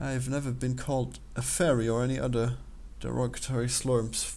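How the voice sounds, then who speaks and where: A man with an Austrian accent speaks at a moderate pace, with audible echo from the room. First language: German. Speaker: game developer and let's player. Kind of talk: casual commentary while taking an online quiz. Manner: halting, with frequent repetitions.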